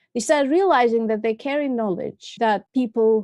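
A woman's high-pitched voice with a dark, mellow tone, ordinary pitch variation, and a dry, close sound with no echo. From Russia, Moscow. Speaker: filmmaker. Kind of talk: interview.

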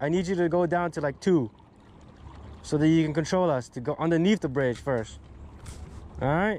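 With a dark, mellow tone, a man talks at a high pitch and a fairly quick pace with lively intonation. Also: dry sound with no echo. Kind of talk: casual vlog chat. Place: boat. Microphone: phone near.

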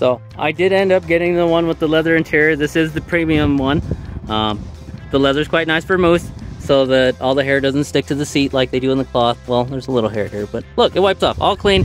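Faint music plays behind a man speaking at a fairly quick pace, the sound dry with no echo. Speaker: car vlogger. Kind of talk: casual vlog chat. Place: street. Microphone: phone near.

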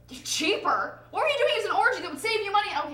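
In a put-on character voice, a woman talks at a very fast pace with an extremely high pitch, big pitch swings and a bright, sharp tone, with audible room echo.

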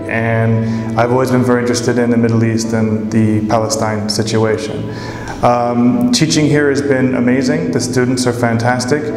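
Clear music plays in the background as a man with a medium pitch talks at a moderate pace. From San Francisco Bay Area, California. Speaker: volunteer English teacher. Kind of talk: casual testimonial to camera. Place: classroom. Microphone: lapel.

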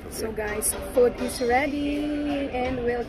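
A woman speaks with music in the background, the sound dry with no echo. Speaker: travel vlogger. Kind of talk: casual vlog chat. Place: cafe. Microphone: phone near.

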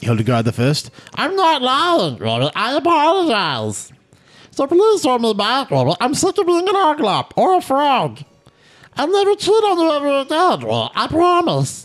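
Pitched high, this is a put-on character voice. It moves at a moderate pace. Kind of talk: comic fan dub. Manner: pleading, comic.

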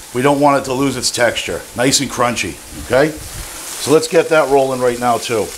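A man talks at a moderate pace with ordinary pitch variation. There is light background noise. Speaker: home cook host. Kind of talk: tutorial. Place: kitchen.

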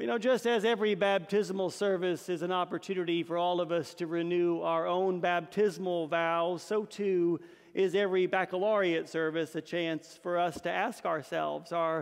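Against a quiet background, a high-voiced man talks at a moderate pace with fairly even intonation and hardly any pauses. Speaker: priest. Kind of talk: sermon. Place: church. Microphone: podium.

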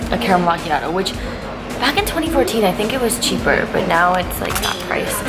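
Clear music sits behind the voice. The speaker is a woman. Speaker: vlogger. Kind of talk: casual vlog chat. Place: cafe. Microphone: phone near.

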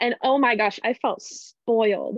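A fairly high-pitched woman with an American accent, ordinary pitch variation and a fairly slow pace, against a quiet background in a dry sound with no echo. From Spokane, Washington; Washington. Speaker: university student; panelist. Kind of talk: casual chat. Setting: video call. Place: home room. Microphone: webcam.

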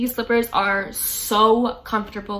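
In monotone, flat intonation, a woman delivers her words. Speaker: YouTuber. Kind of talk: casual vlog chat. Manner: fast talker. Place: home room.

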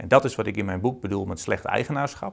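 A man talks at a very fast pace with lively intonation against a quiet background. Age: 30s. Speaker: accountant and author. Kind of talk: interview. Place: office. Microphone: lapel.

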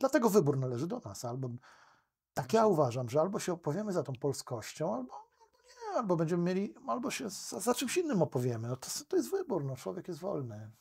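This man talks at a very fast pace with a fairly high pitch. His pitch swings very widely. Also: quiet background. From Poland. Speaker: lawyer; podcast guest, lawyer. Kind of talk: interview conversation. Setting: studio. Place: studio. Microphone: studio mic.

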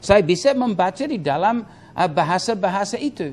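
A man's high-pitched voice with lively intonation at a moderate pace. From Papua New Guinea. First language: Tok Pisin (speaking Indonesian). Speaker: Bible teacher. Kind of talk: Q&A teaching session. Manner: halting, many fillers. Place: studio. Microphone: lapel.

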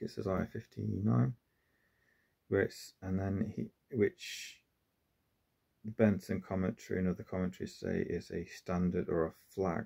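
A dark, mellow tone with vocal fry and ordinary pitch variation, at a fairly slow pace with long, frequent pauses. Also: man, very deep, low pitch for a man, quiet background. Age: 40s. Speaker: religious video essayist; religious commentator. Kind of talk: monologue lecture. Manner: halting, with frequent fillers. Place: home room. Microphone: phone near.

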